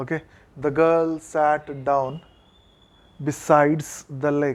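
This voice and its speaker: A man with an Indian accent, very slow pace, fairly high pitch and flat, monotone intonation. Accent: Indian English (Telugu). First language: Telugu. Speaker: college English lecturer. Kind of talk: classroom lecture.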